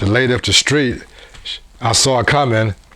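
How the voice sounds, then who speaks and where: Male speech delivered at an even, moderate tempo, with clearly audible noise in the background. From US Midwest, Cincinnati, Ohio. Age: 70s. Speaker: former state champion athlete. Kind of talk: interview testimony. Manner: halting.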